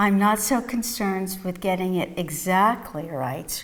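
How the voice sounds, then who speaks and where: With a New York accent, the speaker talks at a fairly slow pace in a calm tone with ordinary pitch variation. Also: woman. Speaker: psychotherapist and mindfulness teacher. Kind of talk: interview answers. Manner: calm, reflective.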